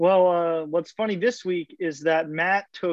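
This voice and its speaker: Speaking at a fairly slow pace, a man uses a high pitch and fairly even intonation. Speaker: podcast co-host. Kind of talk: casual comedy banter.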